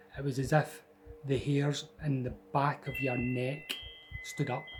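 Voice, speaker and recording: The man has a Scottish accent and a medium pitch. Noticeable noise sits in the background. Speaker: storyteller. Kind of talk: personal ghost story told to camera. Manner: casual, conversational.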